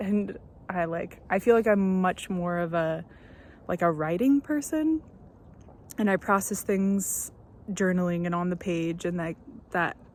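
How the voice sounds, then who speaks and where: This woman talks at a fairly slow pace, with a medium pitch and ordinary pitch variation. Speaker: first-time vlogger. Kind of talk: casual vlog monologue. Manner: hesitant, many fillers.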